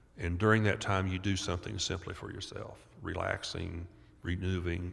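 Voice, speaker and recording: With audible room echo, a man talks in a very deep, low pitch and a monotone, flat intonation. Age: 70s. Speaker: doctor and author on childhood trauma. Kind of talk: podcast interview. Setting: live at a conference.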